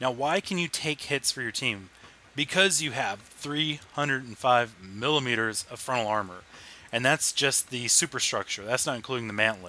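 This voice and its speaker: Loud male speech at medium pitch, bright and sharp in tone, with lively intonation and a moderate pace. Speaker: video game reviewer. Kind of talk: gameplay commentary. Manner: animated.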